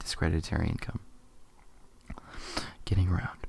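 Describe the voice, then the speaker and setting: Soft-spoken and somewhat breathy, a man with a very deep, low voice keeps his intonation fairly even on a very clean recording with a silent background. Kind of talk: ASMR soft-spoken article reading.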